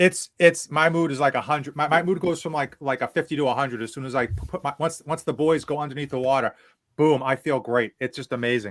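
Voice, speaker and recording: A man with a Boston accent talks at a very fast pace in a fairly high pitch, with ordinary pitch variation and a dry, close sound with no echo. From Boston area, New England. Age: 40s. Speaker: fitness youtuber. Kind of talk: casual livestream interview chat. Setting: livestream. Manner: animated.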